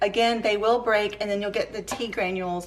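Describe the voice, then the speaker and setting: A woman's fairly high voice with a Southern US accent, at a moderate pace. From Georgia, US South. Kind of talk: cooking tutorial talk to camera.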